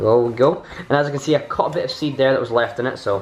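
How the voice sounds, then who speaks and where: Over music in the background, a man with a Scottish accent speaks at a very fast pace. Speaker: YouTuber, bartender. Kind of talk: tutorial.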